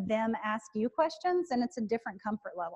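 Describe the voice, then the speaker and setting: In a dry, close sound with no echo, a woman talks at a moderate pace with a Southern US accent. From rural Alabama, US South. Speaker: professor. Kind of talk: lecture Q&A. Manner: loud; preacher-like delivery.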